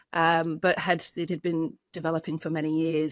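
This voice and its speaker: With an English accent, a woman speaks at a moderate pace in a fairly low pitch, recorded very cleanly against a silent background with a dry, close sound and no echo. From England. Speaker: addiction clinic co-founder. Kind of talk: interview. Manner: hesitant, many fillers.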